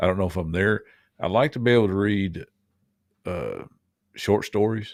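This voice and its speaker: In a very clean recording with a silent background, a man speaks at a moderate pace, fairly low in pitch with ordinary pitch variation. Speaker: podcast co-host. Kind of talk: casual chat.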